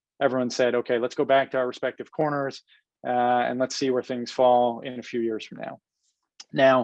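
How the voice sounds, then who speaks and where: Fairly quick speech from a man at medium pitch. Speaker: real estate development executive. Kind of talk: webinar presentation. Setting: webinar. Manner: fast.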